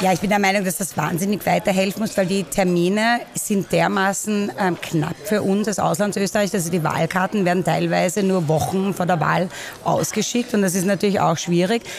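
A woman talks at a moderate pace and medium pitch, with hardly any pauses and fairly even intonation. Her loudness stays very even, though there is noticeable background noise. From Vienna, Austria (Währing). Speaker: expat association member. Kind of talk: interview. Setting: coffee house.

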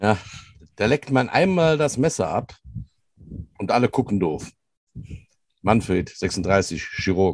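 A man of medium pitch speaks at a very slow pace with long, frequent pauses. His pitch swings very widely while his loudness stays very even. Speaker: podcast co-host, youth American football coach. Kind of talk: casual chat. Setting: barn office.

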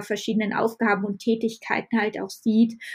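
Somewhat breathy, a woman speaks at a fairly high pitch with monotone, flat intonation. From western Germany, Düren near Aachen. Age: 30s. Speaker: market gardener. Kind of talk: casual chat.

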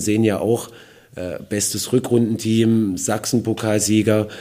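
This man speaks very slowly, his pitch sitting fairly low. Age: 40s. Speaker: football coach. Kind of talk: interview. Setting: football stadium.

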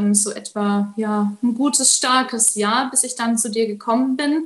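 At a fairly slow pace, a woman with a fairly high pitch and fairly even intonation speaks in an unremarkable speaking voice. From Baden-Württemberg, Germany. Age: 20s. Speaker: coaching client. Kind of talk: interview testimony.

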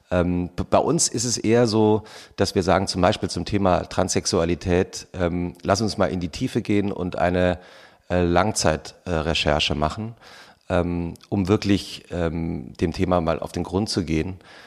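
The recording is very clean, with a silent background. A man talks with a very deep, low pitch and ordinary pitch variation. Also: fairly slow pace. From Hesse, Germany. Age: 40s. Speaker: magazine editor and podcaster. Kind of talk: interview. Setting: live podcast stage with audience.

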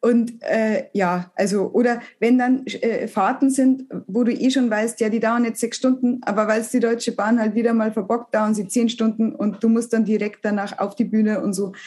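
Speaking in a Bavarian accent, a woman keeps a fairly even intonation at a fairly high pitch, moving at a moderate pace with hardly any pauses. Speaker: comedian. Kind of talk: casual interview. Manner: halting.

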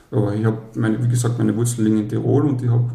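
A man of medium pitch speaks with fairly even intonation, and room echo is audible. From Austria, Carinthia. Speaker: dad blogger. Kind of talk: interview.

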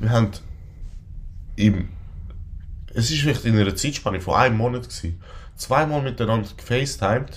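A man with a medium pitch speaks at a fairly quick pace, yet leaves long, frequent pauses. His voice is somewhat breathy with ordinary pitch variation, and the room echo is audible. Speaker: podcast co-host. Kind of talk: casual chat.

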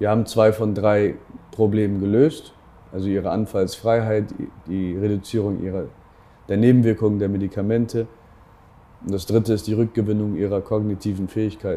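A man speaks at a moderate pace with a fairly low pitch and a dark, mellow tone. His intonation is monotone and flat, and he takes long, frequent pauses. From northern Germany, Bremen. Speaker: entrepreneur and investor. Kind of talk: interview. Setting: office.

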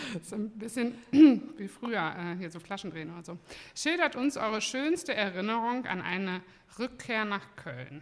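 Speaking at a fairly slow pace, a woman holds a medium pitch with very wide pitch swings. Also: big swings in loudness. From Cologne, Germany. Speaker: brewery owner. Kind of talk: casual chat. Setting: studio.

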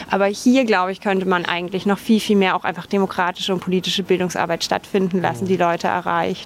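The voice moves at a very fast pace with fairly even intonation. Noticeable background noise runs behind it. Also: woman, medium pitch for a woman, hardly any pauses. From Bavaria, Dachau near Munich. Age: 30s. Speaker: politician. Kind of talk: walking interview. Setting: outdoors.

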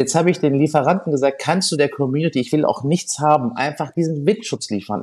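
Talking at a fairly quick pace, a man with a fairly high voice shows vocal fry. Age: 40s. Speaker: restaurateur and social media creator. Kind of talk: interview. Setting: studio.

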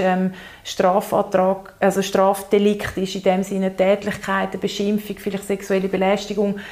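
This woman's pitch is medium and her intonation monotone and flat. Noticeable background noise is present. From Zurich, Switzerland. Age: 30s. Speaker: lawyer in training and queer activist. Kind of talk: casual interview conversation.

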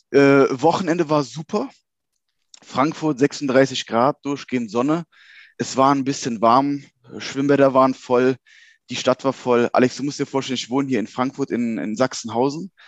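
A man speaks at a moderate pace and medium pitch with fairly even intonation in an unremarkable speaking voice, with a dry, close sound and no echo. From Germany, Cologne-Bonn area. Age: 30s. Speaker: banker and crypto enthusiast. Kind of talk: casual interview chat.

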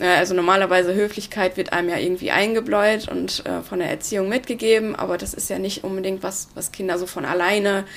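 At a fairly quick pace, a woman talks in a normal speaking voice. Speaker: youth mentoring volunteer. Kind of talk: interview.

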